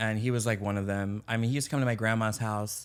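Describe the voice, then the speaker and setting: On a very clean recording with a silent background, a man with an American accent uses a plain, everyday voice at medium pitch and a fairly quick pace. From US, then Trinidad from age eleven. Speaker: beauty expert and actor. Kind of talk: podcast interview.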